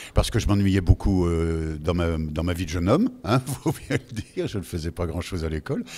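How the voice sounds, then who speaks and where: A man talks at a fairly quick pace with lively intonation. His tone is dark and mellow. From Lorraine, France. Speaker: voice actor. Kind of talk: interview answer. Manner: casual, chatty.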